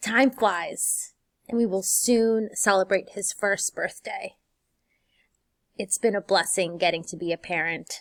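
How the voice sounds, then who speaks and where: On a very clean recording with a silent background and a dry, close sound with no echo, a woman speaks at medium pitch with a warm tone, at a fairly slow pace with long, frequent pauses. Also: ordinary pitch variation. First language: Spanish. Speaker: high school Spanish teacher. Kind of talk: teacher welcome video. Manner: warm, encouraging.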